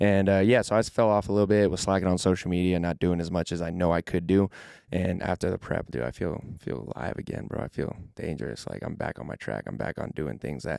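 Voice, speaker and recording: A man talks very fast, with hardly any pauses, in a very deep, low voice that is dark and mellow with vocal fry. His intonation is lively, and the sound is dry and close with no echo. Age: 20s. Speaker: natural pro bodybuilder. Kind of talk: podcast interview. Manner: energetic.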